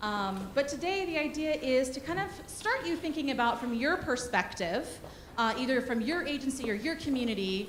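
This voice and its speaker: A woman speaks loudly in a high voice with lively intonation. Noticeable background noise and audible room echo fill the recording. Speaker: workshop presenter for a disaster relief organization. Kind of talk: conference workshop presentation. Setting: conference room with audience, handheld mic.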